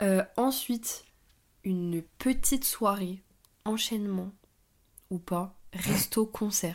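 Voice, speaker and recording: A woman speaks at medium pitch with fairly even intonation. Long, frequent pauses break up her speech. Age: 20s. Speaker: podcast co-host. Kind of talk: casual chat.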